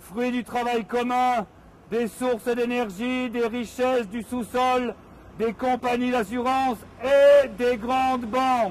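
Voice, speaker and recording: His voice has an extremely high pitch and monotone, flat intonation. The man speaks at a very slow pace. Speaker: activist reading a text in public. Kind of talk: reading aloud. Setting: outdoors on a public square. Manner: loud.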